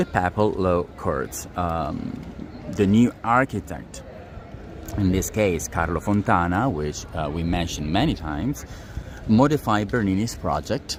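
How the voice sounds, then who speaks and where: Someone with an Italian accent speaks fairly slowly over noticeable background noise. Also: man, very deep, low pitch for a man, lively intonation. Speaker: tour guide. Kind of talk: live-streamed walking tour. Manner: hesitant, many fillers.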